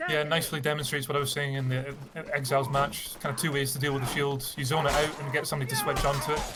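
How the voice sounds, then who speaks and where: A man's fairly high, monotone and flat voice at a very fast pace with hardly any pauses, plus music in the background and audible room echo. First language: not English. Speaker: esports caster. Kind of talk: live commentary.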